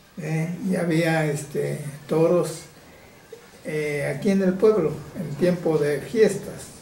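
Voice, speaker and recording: Long, frequent pauses break up this man's very slow speech. Audible room echo and noticeable background noise fill the recording. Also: fairly high pitch for a man, fairly even intonation. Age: 70s. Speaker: village elder. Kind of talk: interview. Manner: halting.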